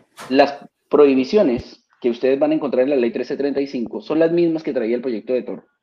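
A man speaks in a plain, everyday voice at a medium pitch. His pace is fairly quick, with ordinary pitch variation. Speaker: vaping advocate. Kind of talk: panel discussion.

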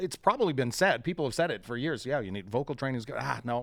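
With vocal fry and lively intonation, a man speaks at a very fast pace. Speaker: podcast host. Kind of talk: casual chat. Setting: studio.

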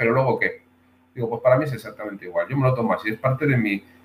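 A man talks very fast in a medium-pitched voice. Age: 30s. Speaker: martial arts instructor. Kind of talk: casual interview.

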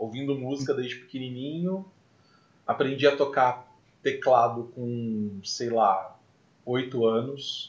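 Very slow and somewhat breathy, a man speaks with long, frequent pauses. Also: medium pitch for a man, ordinary pitch variation. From Brazil, Mococa (São Paulo state). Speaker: podcast host, musician. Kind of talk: casual chat.

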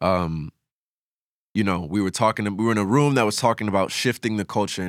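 A man with a plain, everyday voice, fairly low pitch and ordinary pitch variation at a fairly quick pace, in a very clean recording with a silent background and a dry, close sound with no echo. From New York City. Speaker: musician and producer. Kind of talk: casual interview chat.

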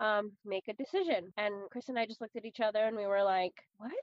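An American-accented woman with an ordinary speaking voice, fairly high pitch, ordinary pitch variation and a fairly quick pace. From US West Coast, San Francisco Bay Area. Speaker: podcast co-host. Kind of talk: casual chat.

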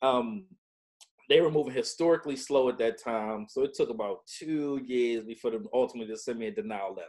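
Speaking at a fairly quick pace with an American accent, a man has an unremarkable speaking voice at medium pitch. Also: lively intonation. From Baltimore, Maryland. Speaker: veteran, claims consultancy CEO. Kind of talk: casual interview, personal story.

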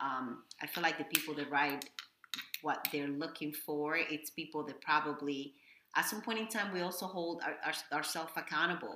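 This woman talks at a moderate pace with a very deep, low pitch. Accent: Spanish. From Dominican Republic. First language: Spanish. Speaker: executive chef. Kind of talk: casual interview.

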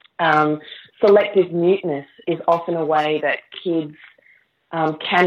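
An Australian accent marks this woman's speech, very deep and low in pitch with monotone, flat intonation. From Queensland, Australia. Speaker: novelist. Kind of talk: interview.

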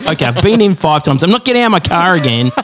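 A high-pitched man with an Australian accent and very wide pitch swings. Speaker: podcast co-host.

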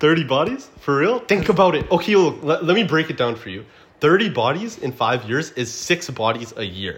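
A fairly high-pitched man with vocal fry talks at a moderate pace, with very wide pitch swings and big swings in loudness. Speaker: podcast host. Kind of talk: casual chat.

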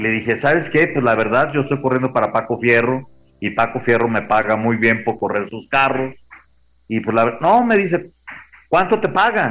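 With a medium pitch, ordinary pitch variation, and a moderate pace, this man has an unremarkable speaking voice. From Mexico, Guadalajara. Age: 60s. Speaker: former racing driver. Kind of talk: interview.

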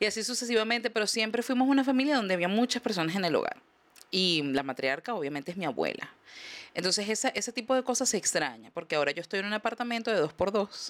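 The pitch swings very widely, with vocal fry, at a very fast pace. The recording is very clean with a silent background. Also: woman, medium pitch for a woman. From Venezuela. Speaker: comedian. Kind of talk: casual chat.

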